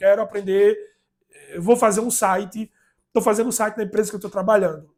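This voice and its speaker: A man speaks in a high pitch. His pace is fairly quick. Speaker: YouTuber sharing productivity advice. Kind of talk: casual vlog monologue. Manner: fast; halting, many repetitions and fillers.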